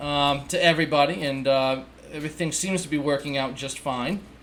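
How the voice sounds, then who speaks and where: Speaking with a New England accent, a man uses ordinary pitch variation. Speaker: book reviewer. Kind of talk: casual book review. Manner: casual, with fillers and restarts.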